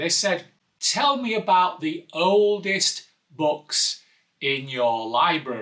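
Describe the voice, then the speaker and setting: Very wide pitch swings run through the man's speech. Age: 60s. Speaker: pastor. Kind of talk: casual talk to camera. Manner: hesitant, with fillers.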